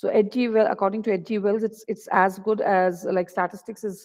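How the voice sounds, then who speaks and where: A woman speaks at a very fast pace with ordinary pitch variation at a medium pitch. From India. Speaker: associate professor of economics. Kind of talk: lecture. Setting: video call. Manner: halting.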